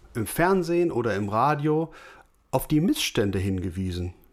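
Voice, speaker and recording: A fairly slow male voice at medium pitch, its pitch swinging very widely. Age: 40s. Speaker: podcast co-host, office worker and guitarist. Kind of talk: casual chat. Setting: remote call.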